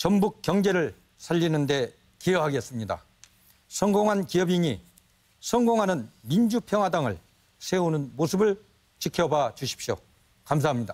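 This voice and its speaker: With lively intonation and long, frequent pauses, a man speaks at a moderate pace in a high-pitched voice whose loudness stays very even. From Jeonju, North Jeolla, South Korea. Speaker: party leadership candidate, businessman. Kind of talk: debate opening statement. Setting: TV studio debate.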